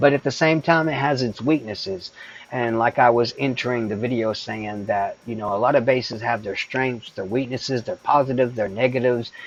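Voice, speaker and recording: The speech moves at a fairly quick pace with hardly any pauses and ordinary pitch variation. Noticeable background noise is present. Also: man, medium pitch for a man. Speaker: gaming streamer. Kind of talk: live stream tutorial. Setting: live stream. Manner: casual, hesitant.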